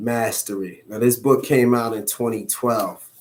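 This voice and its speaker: A man with a medium-pitched voice speaks at a fairly slow pace. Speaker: motivational vlogger. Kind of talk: casual monologue.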